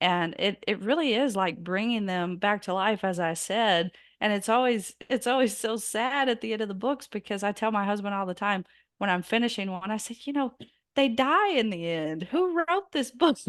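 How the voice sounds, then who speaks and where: A woman with a Southern US accent and lively intonation. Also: fairly high pitch for a woman, moderate pace, quiet background. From US South. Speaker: biographer and author. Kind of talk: interview.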